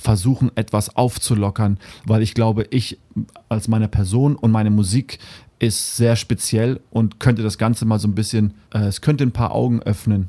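A man at a fairly low pitch with a dark, mellow tone, a moderate pace, very even loudness and fairly even intonation. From Namibia. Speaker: musician. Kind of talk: interview. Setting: studio.

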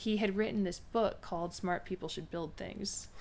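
The pace is moderate, and the pitch varies in an ordinary way. It is a plain, everyday voice. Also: woman. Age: 30s. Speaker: college counselor and education consultant. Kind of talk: casual chat. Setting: studio.

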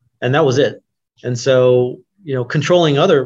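A somewhat breathy, medium-pitched man with an American accent, fairly even intonation and a moderate pace. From Oklahoma City, US. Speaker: 3D printing entrepreneur, former mechanical engineer. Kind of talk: interview. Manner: hesitant, many fillers and repetitions.

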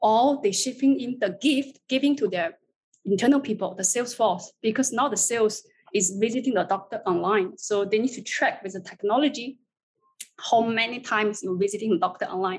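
Somewhat breathy, a woman speaks at a fairly quick pace with ordinary pitch variation. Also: fairly high pitch for a woman. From China. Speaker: marketing agency executive. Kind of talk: panel discussion.

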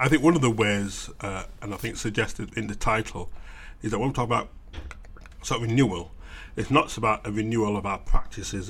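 Somewhat breathy, a man speaks at a fairly quick pace with a fairly low pitch. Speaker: theologian. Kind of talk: interview. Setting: conference green room.

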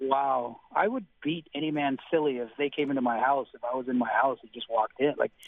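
A man with a Canadian accent and an unremarkable speaking voice talks at a fairly quick pace with hardly any pauses. His medium pitch holds fairly even intonation, while his loudness swings widely. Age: 20s. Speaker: construction worker. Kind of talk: radio call-in. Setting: phone call.

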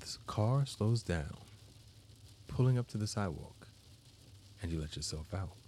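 A man's somewhat breathy voice, dark and mellow with a soothing tone, lively intonation and long, frequent pauses. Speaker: guided meditation guide and therapist. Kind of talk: guided meditation, calm scripted visualization with counting. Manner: slow, soft, soothing, measured with long pauses.

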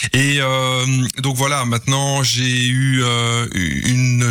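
A man with a medium pitch speaks with noticeable background noise behind him. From Belgium, Mons. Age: 50s. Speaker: game inventor. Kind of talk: radio interview. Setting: studio. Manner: halting.

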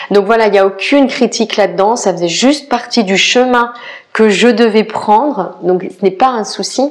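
Fairly high female voice against noticeable background noise. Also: ordinary pitch variation, moderate pace. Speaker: podcast host and life coach. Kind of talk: personal storytelling monologue. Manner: hesitant, many fillers.

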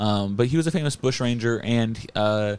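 A man with a normal speaking voice talks at a moderate pace and medium pitch. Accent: American. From Florida. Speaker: comedy podcast host. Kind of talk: casual chat.

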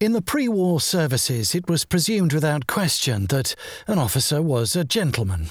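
The voice is somewhat breathy, with very wide pitch swings and very even loudness at a moderate pace. The recording is very clean, with a silent background. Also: man, fairly high pitch for a man. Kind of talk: memoir audiobook reading, first-person wartime recollection. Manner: measured, wry, dry humour, storytelling.

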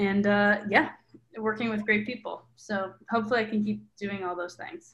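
With an American accent, a woman speaks in a normal speaking voice at medium pitch and a moderate pace. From Milwaukee, Wisconsin, US Midwest. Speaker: documentary filmmaker and journalist. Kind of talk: interview. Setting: video call.

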